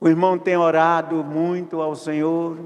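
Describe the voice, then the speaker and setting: Speaking very slowly, a man uses a high pitch. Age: 80s+. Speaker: pastor. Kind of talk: sermon. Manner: repetitive, halting.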